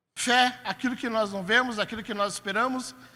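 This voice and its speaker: In a very clean recording with a silent background, a raised, projected voice with a bright, sharp tone speaks at a moderate pace with fairly even intonation. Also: man. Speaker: pastor. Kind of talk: sermon. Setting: church.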